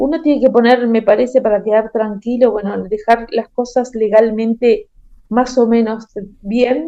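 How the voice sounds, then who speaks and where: A woman with a fairly high pitch and a dark, mellow tone speaks at a fairly slow pace with fairly even intonation. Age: 60s. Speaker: caregiver. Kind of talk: interview.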